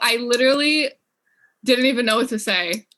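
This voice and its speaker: A woman speaks with a bright, sharp tone. Her pitch variation is ordinary. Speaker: debate team member. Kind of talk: impromptu practice speech. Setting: video call.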